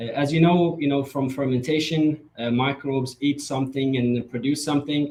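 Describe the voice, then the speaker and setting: A man's somewhat breathy voice has a dark, mellow tone and a fairly high pitch. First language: Persian. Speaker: startup founder. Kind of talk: startup pitch presentation. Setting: virtual event.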